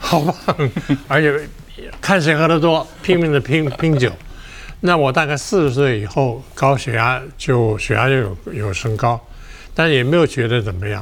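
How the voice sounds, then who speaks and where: With noticeable background noise behind it, the speech proceeds at a fairly slow pace. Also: man, lively intonation. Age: 80s+. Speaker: retired media veteran and heart patient. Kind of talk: personal testimony in interview.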